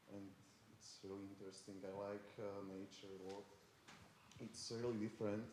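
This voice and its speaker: A man's fairly low, dark, mellow voice in a monotone, flat intonation, at a moderate pace with long, frequent pauses and audible room echo. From Košice, eastern Slovakia. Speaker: art student, animator. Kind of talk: self-introduction. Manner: halting, many fillers.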